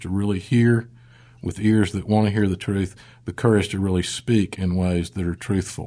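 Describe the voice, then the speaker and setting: A man speaks in a Southern US accent with a fairly low pitch and a dark, mellow tone. His intonation stays fairly even against a quiet background. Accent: Southern American. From US South, South Mississippi. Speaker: pastor. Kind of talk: interview.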